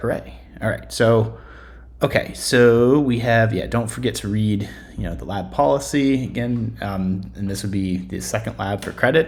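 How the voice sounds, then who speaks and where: Somewhat breathy, a man talks in a fairly low pitch with lively intonation. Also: moderate pace. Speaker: statistics instructor. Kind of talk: screencast tutorial. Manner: hesitant, many fillers.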